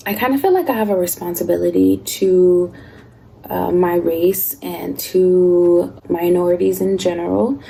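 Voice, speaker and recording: A soft-spoken woman talks at a fairly slow pace. Noticeable background noise can be heard. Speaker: lifestyle vlogger. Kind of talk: casual chat. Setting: at home.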